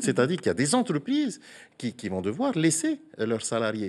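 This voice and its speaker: This man's fairly high voice swings very widely in pitch. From French Polynesia. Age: 40s. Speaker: senator. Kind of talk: TV interview. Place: studio. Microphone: lapel.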